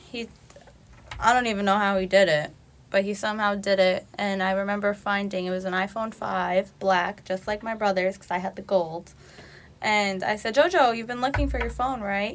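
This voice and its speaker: A woman's normal speaking voice with an American accent, medium pitch, fairly even intonation and a moderate pace, on a very clean recording with a silent background. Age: 20s. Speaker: college student, daughter of host. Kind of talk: personal testimony.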